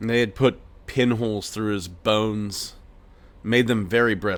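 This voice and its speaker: A man with a plain, everyday voice speaks in an American accent at a moderate pace. His pitch is fairly low and his intonation fairly even. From Pennsylvania, US. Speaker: podcast host. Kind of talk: personal storytelling.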